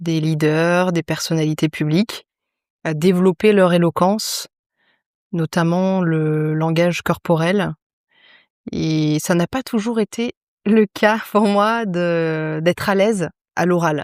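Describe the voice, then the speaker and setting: At a very slow pace, a woman speaks with long, frequent pauses and a fairly low pitch. Her pitch variation is ordinary, and the sound is dry and close with no echo. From grew up abroad (Egypt, Turkey) as French expatriate. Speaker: public speaking coach and radio co-host. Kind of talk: casual interview.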